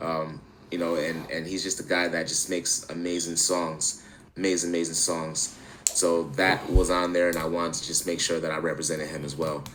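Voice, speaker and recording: A man's very deep, low voice with an American accent, monotone and flat, fairly quick, with audible room echo and noticeable background noise. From Central New York, Syracuse. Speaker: musician. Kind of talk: podcast interview. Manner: casual, many fillers.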